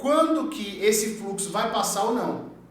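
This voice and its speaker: Lively intonation marks a man's high-pitched voice at a fairly slow pace. Noticeable background noise and audible room echo come through. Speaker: electrician teaching a course. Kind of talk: tutorial. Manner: animated.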